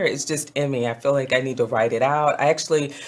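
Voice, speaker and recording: An animated tone at a fairly quick pace, with noticeable background noise. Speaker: guest speaker on women's leadership. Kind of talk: casual chat. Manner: animated storytelling.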